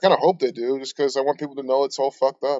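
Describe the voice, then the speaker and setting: A man at a medium pitch talks at a fairly quick pace with ordinary pitch variation. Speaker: conspiracy livestreamer. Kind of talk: casual livestream chat. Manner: mumbles words sometimes; fast.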